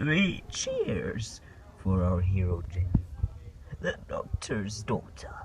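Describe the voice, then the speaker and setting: Clear background noise sits behind a man doing a put-on character voice at a very slow pace with long, frequent pauses. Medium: audio drama. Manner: warm, gentle.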